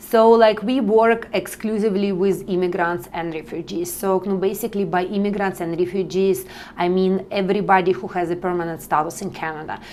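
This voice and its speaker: Over noticeable background noise, a woman talks at a fairly quick pace with hardly any pauses and fairly even intonation. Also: medium pitch for a woman. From Russia. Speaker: nonprofit partnership specialist. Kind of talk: interview. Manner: halting.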